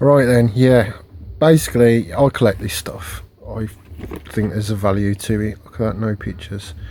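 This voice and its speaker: Somewhat breathy and dark, mellow in tone, a man talks at a fairly low pitch and moderate pace, with ordinary pitch variation and big swings in loudness. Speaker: collector vlogger. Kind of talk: casual vlog monologue. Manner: hesitant, many fillers.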